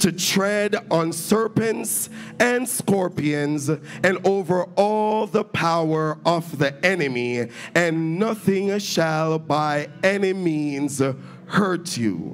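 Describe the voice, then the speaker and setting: Over faint music in the background, a high-pitched man speaks at a very slow pace with very even loudness and ordinary pitch variation. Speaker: minister preaching. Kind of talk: sermon scripture reading. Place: church. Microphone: handheld.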